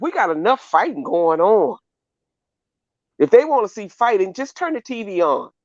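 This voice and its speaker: A woman with a Mississippi accent speaks at a moderate pace with very wide pitch swings. The sound is dry and close with no echo. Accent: US Southern (Mississippi). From Mississippi Delta. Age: 60s. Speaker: caller on livestream. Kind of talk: casual chat.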